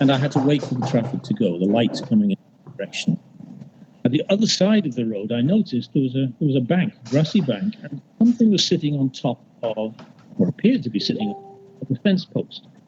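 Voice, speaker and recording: Over noticeable background noise, a man talks at a fairly quick pace, his fairly high voice rising and falling in very wide swings. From northern England, Liverpool. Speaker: poet. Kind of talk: poetry reading with storytelling intro. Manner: halting, with many fillers.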